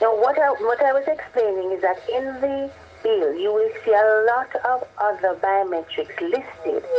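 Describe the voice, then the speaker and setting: Noticeable background noise sits behind a woman speaking at a moderate pace. Her pitch is fairly high and her intonation lively. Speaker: government official explaining policy. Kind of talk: radio interview.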